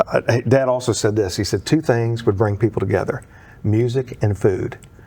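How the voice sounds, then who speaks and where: A man speaks with fairly even intonation and very even loudness. Noticeable background noise is present. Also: medium pitch for a man, moderate pace. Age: 60s. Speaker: country singer and theatre performer. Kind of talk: casual interview chat. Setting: studio.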